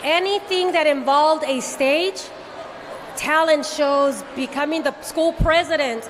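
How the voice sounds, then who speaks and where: Noticeable background noise sits behind a woman's high-pitched voice. She talks at a fairly slow pace with fairly even intonation. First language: Spanish. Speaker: actress. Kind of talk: panel interview.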